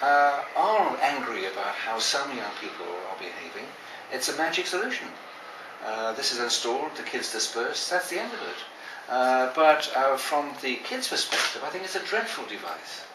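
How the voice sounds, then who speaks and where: With audible room echo and noticeable background noise, a man with a British accent and fairly high pitch talks at a moderate pace using very wide pitch swings. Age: 60s. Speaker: children's advocate. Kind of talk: interview.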